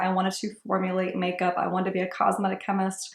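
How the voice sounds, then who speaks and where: A woman talks at a fairly quick pace with an American accent. Her pitch is medium, and there is noticeable background noise. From Ohio, US Midwest. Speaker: beauty vlogger. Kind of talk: casual chat. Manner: casual, filler-heavy.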